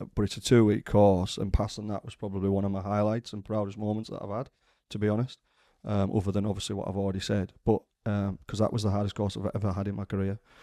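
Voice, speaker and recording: Very clean with a silent background, this recording has a man speaking at a very fast pace. His fairly low pitch carries a dark, mellow tone and monotone, flat intonation. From northern England, Maryport, Cumbria. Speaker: firearms instructor. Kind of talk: casual interview. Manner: hesitant, many fillers and restarts.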